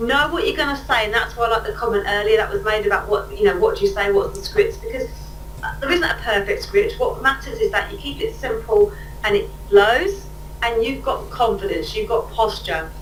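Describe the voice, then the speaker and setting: Audible room echo and noticeable background noise fill the recording. A woman speaks at a fairly quick pace. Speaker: catalogue sales trainer. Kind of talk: webinar training. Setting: webinar. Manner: fast.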